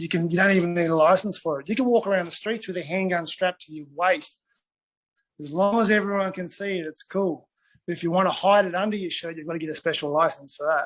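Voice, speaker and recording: A high-pitched man with an Australian accent mumbles at a very fast pace with fairly even intonation. His loudness swings widely against a quiet background. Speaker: retired MMA fighter. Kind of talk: casual interview chat. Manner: mumbling.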